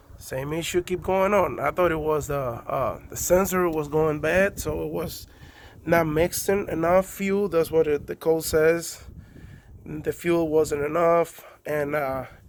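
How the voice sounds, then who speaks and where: Speaking with a Spanish accent, a man keeps a fairly slow pace, a fairly high pitch and fairly even intonation. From Cuba. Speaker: car owner doing DIY repair video. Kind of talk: casual tutorial. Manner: halting, many fillers.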